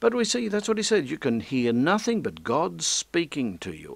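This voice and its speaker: The voice moves through very wide pitch swings on a very clean recording with a silent background. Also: man. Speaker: preacher. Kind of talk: religious lecture. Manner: passionate.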